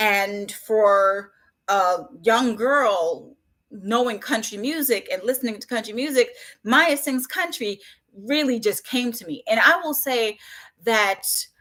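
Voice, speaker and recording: A woman with a slight Southern US accent talks at a very slow pace, her fairly high voice bright and sharp in tone. Her intonation is lively, her loudness swings widely, and the recording is very clean with a silent background. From Jamaica, then Brooklyn, New York from age six. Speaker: children's book author. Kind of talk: interview on live stream.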